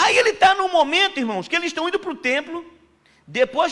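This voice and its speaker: Here a man speaks in a bright, sharp tone. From Pernambuco, Brazil. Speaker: missionary preacher. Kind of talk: sermon. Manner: casual, conversational.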